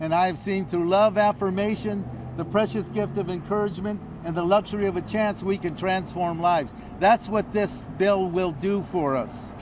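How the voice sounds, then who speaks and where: A man with an American accent and a high pitch talks at a moderate pace with ordinary pitch variation, noticeable background noise and audible room echo. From Los Angeles, San Fernando Valley. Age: 70s. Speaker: community nonprofit leader. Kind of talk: press conference speech. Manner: animated.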